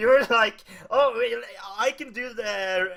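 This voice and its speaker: A man speaks in a raised voice. He projects it strongly. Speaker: gaming video reviewer. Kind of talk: casual vlog chat. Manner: halting.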